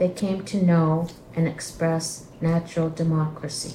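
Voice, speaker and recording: A woman with a fairly low pitch talks at a very slow pace. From Mohawk Nation, Canada. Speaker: program coordinator and podcast host. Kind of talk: scripted podcast introduction and reading aloud.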